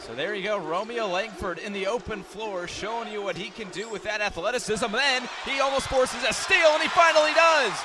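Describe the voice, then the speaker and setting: Over noticeable background noise, a man speaks in a raised, projected voice at a moderate pace, his pitch swinging very widely. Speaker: sports play-by-play announcer. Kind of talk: basketball play-by-play with analyst.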